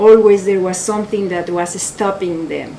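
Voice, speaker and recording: Against noticeable background noise, a woman with a medium pitch speaks in a monotone, flat manner. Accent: strong Mexican. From Mexico. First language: Spanish. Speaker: photographer. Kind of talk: artist talk. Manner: halting.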